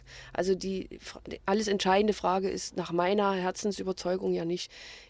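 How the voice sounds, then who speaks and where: In a very clean recording with a silent background, a woman talks at a fairly quick pace. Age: 50s. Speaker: small business owner selling day-old bread. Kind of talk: interview. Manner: hesitant with filler sounds.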